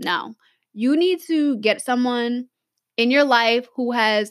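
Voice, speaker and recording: The tone is animated throughout. The recording is very clean, with a silent background. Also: woman. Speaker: podcast host and writing coach. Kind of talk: casual solo podcast tutorial.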